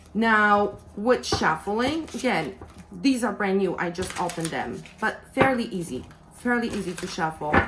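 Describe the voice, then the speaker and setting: With audible room echo around her, a woman speaks at a fairly slow pace in a medium pitch with lively intonation. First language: not English. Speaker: tarot reader and deck reviewer. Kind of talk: product review.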